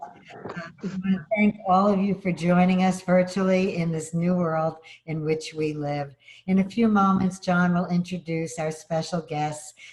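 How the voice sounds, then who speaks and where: A woman with a Brooklyn accent, fairly low-pitched and fairly slow, with fairly even intonation and noticeable background noise. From Brooklyn, New York. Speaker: advocacy organization state director. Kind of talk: formal opening remarks. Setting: video call.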